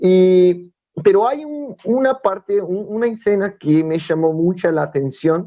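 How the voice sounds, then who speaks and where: His intonation lively, a man with a high voice talks fairly slowly. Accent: Brazilian. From Brazil. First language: Portuguese (speaking Spanish). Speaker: youth preacher. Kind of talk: sermon. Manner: halting.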